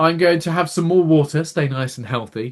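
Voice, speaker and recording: A man's fairly high-pitched voice with an English accent. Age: 30s. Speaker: podcast co-host. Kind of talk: casual chat.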